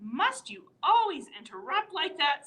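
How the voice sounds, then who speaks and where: Using a put-on character voice, a woman talks at a fairly slow pace with an extremely high pitch and very wide pitch swings. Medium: read story. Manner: irritable.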